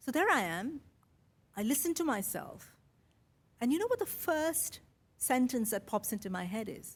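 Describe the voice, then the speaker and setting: A woman speaks in a high voice that swings very widely in pitch. She leaves long, frequent pauses. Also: moderate pace. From India, Mumbai. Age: 50s. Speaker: podcaster. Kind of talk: keynote speech.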